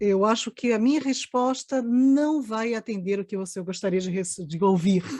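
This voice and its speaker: At a fairly slow pace, a woman speaks in a dark, mellow tone, the sound dry and close with no echo. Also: quiet background. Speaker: anthropologist. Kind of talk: panel discussion.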